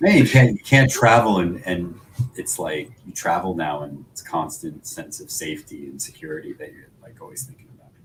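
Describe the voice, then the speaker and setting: Noticeable background noise sits behind a man. His loudness swings a lot. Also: moderate pace. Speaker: podcast co-host. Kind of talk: casual chat.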